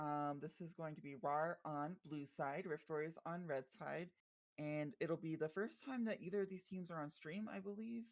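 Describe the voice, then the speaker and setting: A woman speaks with a very deep, low pitch. Her pace is moderate and her pitch variation ordinary. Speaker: esports caster. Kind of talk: live esports commentary. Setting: live stream.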